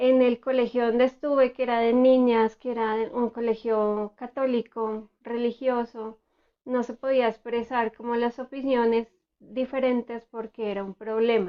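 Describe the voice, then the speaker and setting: Her pitch fairly high, a woman speaks at a fairly slow pace in a monotone, flat intonation. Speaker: therapist. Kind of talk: educational talk. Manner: soft-spoken.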